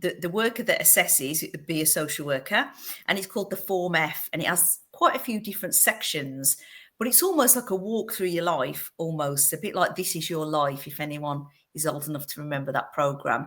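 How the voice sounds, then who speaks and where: On a very clean recording with a silent background, a woman with a fairly low voice and an English Midlands accent talks at a fairly quick pace with lively intonation. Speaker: fostering agency director. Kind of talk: podcast interview.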